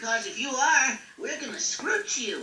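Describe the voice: In a cartoonish character voice, someone talks at a moderate pace with a high pitch and a slight echo.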